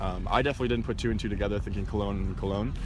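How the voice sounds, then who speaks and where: Speaking at a very fast pace with an American accent, a man is heard with audible room echo. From US Midwest, Wisconsin (small town). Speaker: tour guide. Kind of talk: casual interview. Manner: casual, filler-heavy.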